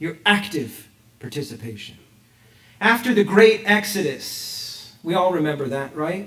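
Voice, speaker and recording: A man with an American accent, high pitch, animated tone and lively intonation, amid audible room echo and noticeable background noise. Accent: Texas accent, comes out at times. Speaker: rabbi. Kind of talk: sermon. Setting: synagogue with congregation, also streamed online. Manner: animated, rhetorical questions.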